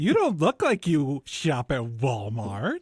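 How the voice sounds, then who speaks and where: At a fairly slow pace, a man uses a put-on character voice with a fairly high pitch. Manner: flamboyant, sassy.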